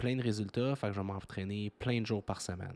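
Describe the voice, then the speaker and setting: A man speaks in a Quebec accent. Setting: kitchen at home, dog in background. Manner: less energetic than usual.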